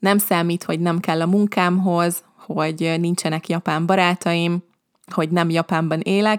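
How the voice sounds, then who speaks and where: Speaking at a fairly slow pace, a woman with a fairly low pitch keeps a monotone, flat intonation and very even loudness, recorded with a dry, close sound and no echo. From Hungary. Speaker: language teacher podcaster. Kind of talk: podcast monologue. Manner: slow and clear for learners.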